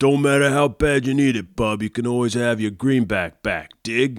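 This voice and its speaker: Here a man speaks at a medium pitch. He keeps a moderate pace. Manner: gruff, suspicious, slangy.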